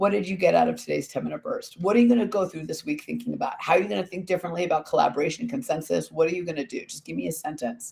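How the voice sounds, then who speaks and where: A man uses a put-on character voice, high-pitched, hoarse and raspy. He rattles along at a very fast pace. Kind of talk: speaking to a live audience.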